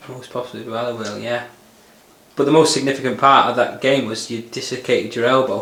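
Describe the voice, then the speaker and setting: Noticeable background noise sits under a man talking at a fairly quick pace. His intonation is monotone and flat, while his loudness swings a lot. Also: medium pitch for a man. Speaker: club staff interviewer. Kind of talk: interview questions.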